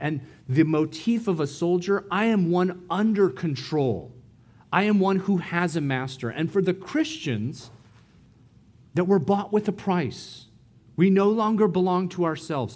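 A man speaks at a high pitch with lively intonation and a fairly slow pace. The recording is very clean, with a silent background. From US, San Diego. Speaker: missionary preacher. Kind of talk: sermon.

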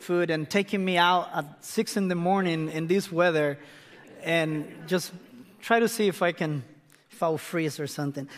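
A man speaks with a Spanish accent at a moderate pace. His pitch is fairly high and his intonation fairly even. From Costa Rica, northern region near Nicaragua. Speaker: missionary pastor. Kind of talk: sermon. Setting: church.

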